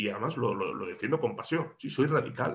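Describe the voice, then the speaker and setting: A man speaks at a fairly quick pace. His voice is somewhat breathy. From Andalusia, Córdoba. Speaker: regional parliament politician. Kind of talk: interview.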